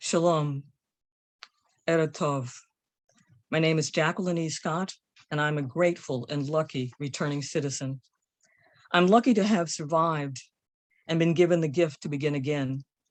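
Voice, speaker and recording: A woman's very deep, low voice with an American accent, a moderate pace, ordinary pitch variation, long and frequent pauses, and a quiet background. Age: 70s. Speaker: returning citizen sharing testimony. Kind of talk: testimony.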